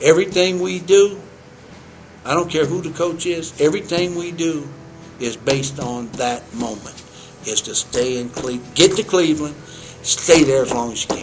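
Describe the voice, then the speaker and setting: With music in the background, a man speaks at a fairly high pitch with lively intonation and long, frequent pauses. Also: moderate pace. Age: 60s. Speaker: college basketball head coach. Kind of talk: interview. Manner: halting, repeats words.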